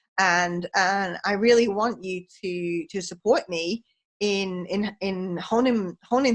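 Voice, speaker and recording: Medium in pitch, a woman talks with a British accent. Her pitch varies in an ordinary way. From England. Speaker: podcast host, leadership coach. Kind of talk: casual interview chat. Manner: chatty, animated.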